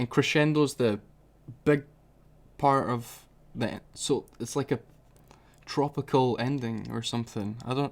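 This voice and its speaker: On a very clean recording with a silent background, a man of medium pitch speaks at a fairly slow pace with fairly even intonation and long, frequent pauses. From Scotland. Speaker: music reaction youtuber. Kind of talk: casual reaction commentary.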